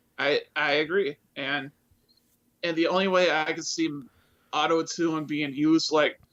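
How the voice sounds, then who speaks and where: With an American accent, a man talks at a fairly slow pace in a fairly high pitch, his intonation monotone and flat, broken by long, frequent pauses. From Wisconsin. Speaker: YouTube vocal cover singer. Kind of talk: casual chat.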